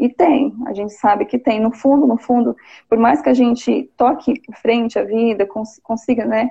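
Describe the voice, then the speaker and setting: A woman with a fairly high pitch speaks at a moderate pace in a dark, mellow tone. Her intonation is lively, with vocal fry. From interior of São Paulo state, Brazil. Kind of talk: casual live interview. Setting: online live video call.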